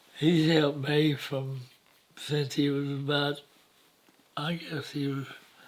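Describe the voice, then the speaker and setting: A man with a Southeast Texas accent, fairly high in pitch, at a very slow pace. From Southeast Texas, Jefferson County. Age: 90s. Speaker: elderly storyteller interviewee. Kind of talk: oral history interview. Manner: halting, many hesitations.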